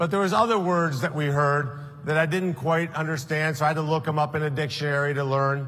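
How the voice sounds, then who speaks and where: A man with a fairly high pitch speaks at a fairly quick pace, his intonation fairly even and his loudness very even. Audible room echo surrounds his voice. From South Florida, Colombian-born. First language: Spanish. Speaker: political candidate. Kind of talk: political speech.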